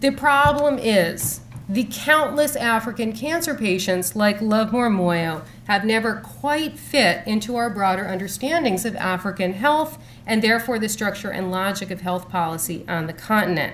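With an American accent and an ordinary speaking voice, a woman of medium pitch talks at a moderate pace with lively intonation over light background noise. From Boston. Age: 40s. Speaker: professor. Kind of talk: lecture. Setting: stage with audience. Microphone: podium.

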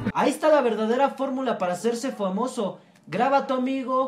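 This man speaks in an extremely high pitch at a fairly quick pace. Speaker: comedy vlogger. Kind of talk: casual vlog chat. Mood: joking, mock serious. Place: home room. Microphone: phone near.

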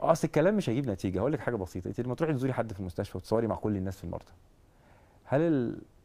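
Speaking at a very fast pace, a man's dark, mellow voice moves with lively intonation. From Egypt. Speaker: athlete and cancer survivor; guest. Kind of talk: interview; interview answer. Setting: studio. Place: studio. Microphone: lapel.

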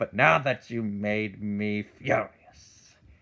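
A man's put-on character voice at a medium pitch. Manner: taunting, gleeful, menacing.

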